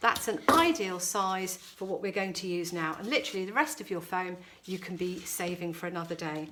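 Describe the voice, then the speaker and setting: Over noticeable background noise, a woman with a British accent speaks with ordinary pitch variation. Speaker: florist running flower workshops. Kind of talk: tutorial.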